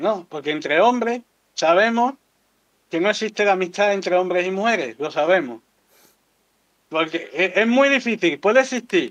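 A man's high voice with an Andalusian accent, lively intonation, a moderate pace and long, frequent pauses. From Andalusia, Seville province town. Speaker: content creator. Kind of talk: casual chat.

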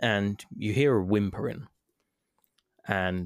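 With a London accent, a man speaks at a fairly low pitch with ordinary pitch variation. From London, England. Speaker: podcast co-host, former game reviewer. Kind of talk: casual chat.

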